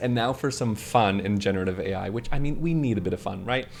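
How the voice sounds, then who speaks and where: A man with a Canadian accent speaks with music in the background. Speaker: tech YouTuber. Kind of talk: casual vlog-style news chat. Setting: on camera. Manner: animated.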